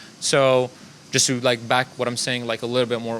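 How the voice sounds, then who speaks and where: A man talks very fast while noticeable noise sits in the background. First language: not English; English is third language. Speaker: marketing agency founder. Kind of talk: casual panel discussion. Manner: conversational, filler-heavy.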